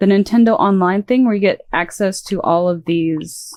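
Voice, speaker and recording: A soft-spoken woman talks at a moderate pace. Her pitch is medium, with ordinary pitch variation. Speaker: vtuber streamer. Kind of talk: casual gaming stream.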